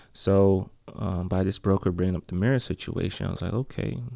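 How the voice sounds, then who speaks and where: The sound is dry and close, with no echo. A man speaks at a fairly low pitch with vocal fry. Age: 30s. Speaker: self-help video host, former real estate agent. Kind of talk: freestyle monologue. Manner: halting, many pauses and restarts.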